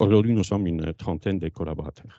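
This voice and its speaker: This man has a very deep, low voice with ordinary pitch variation. He speaks with a Polish accent. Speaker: company founder. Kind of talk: conference presentation. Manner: hesitant.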